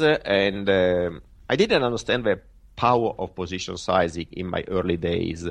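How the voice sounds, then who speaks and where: Fairly low in pitch, a man talks at a fairly slow pace. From Italy. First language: Italian. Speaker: professional trader. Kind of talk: interview. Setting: remote call. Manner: halting.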